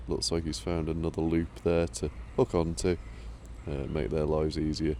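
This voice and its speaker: Relaxed and very deep in pitch, a man talks at a fairly slow pace with vocal fry and a dark, mellow tone. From Shropshire, England. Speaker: video creator filming construction work. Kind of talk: casual on-location commentary. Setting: outdoors at canal worksite. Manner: relaxed, filler-heavy with many uhs.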